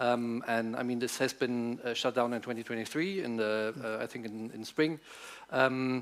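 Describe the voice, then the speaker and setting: This man has a German accent and a medium pitch, and he speaks at a moderate pace with fairly even intonation. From Germany. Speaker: politician. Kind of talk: panel debate. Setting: conference stage with audience. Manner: halting, many fillers.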